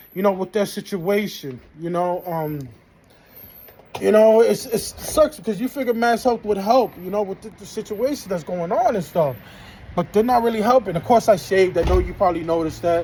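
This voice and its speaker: A man's high-pitched voice with lively intonation and big swings in loudness, over noticeable background noise. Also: moderate pace. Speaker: vlogger. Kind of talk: personal vlog monologue. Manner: halting, with frequent fillers and repetitions.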